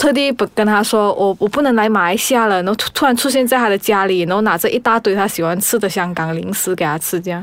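A woman talks at a fairly high pitch and a fairly quick pace. She has a plain, everyday voice with ordinary pitch variation. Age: 30s. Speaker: podcast guest. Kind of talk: casual chat.

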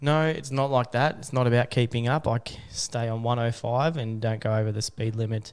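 Speaking at a fairly quick pace with hardly any pauses, a man with an Australian accent uses a medium pitch and fairly even intonation. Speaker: podcast host. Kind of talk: casual chat. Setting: studio.

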